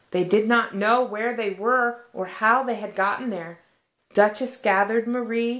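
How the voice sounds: It is a natural reading voice. The background is quiet.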